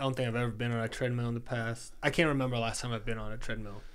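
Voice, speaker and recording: In a room with audible echo, a man talks at a medium pitch in a monotone, flat intonation. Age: 30s. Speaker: performance coach and athlete. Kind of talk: casual interview. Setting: host's home studio.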